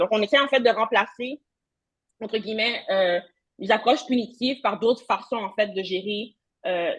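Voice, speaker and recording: A woman's fairly high, somewhat breathy voice with ordinary pitch variation. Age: young. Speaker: social work researcher. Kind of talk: conference talk. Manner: fast.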